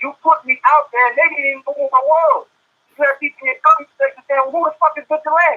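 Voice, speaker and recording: A man with an American accent speaks at a very fast pace. His pitch is extremely high. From Baton Rouge, Louisiana (US South). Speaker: rapper. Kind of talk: heated debate. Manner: animated.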